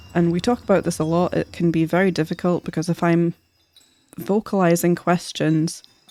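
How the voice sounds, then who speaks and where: In a Scottish accent, a woman speaks at a moderate pace with fairly low pitch, a dark, mellow tone and monotone, flat intonation, in a very clean recording with a silent background and a dry, close sound with no echo. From Scotland. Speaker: streamer and artist. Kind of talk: casual live-stream chat. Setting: live stream.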